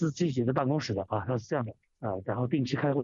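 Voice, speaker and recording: This man's voice has ordinary pitch variation. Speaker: radio caller. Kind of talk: phone-in commentary. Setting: phone call. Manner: halting, many fillers and repetitions.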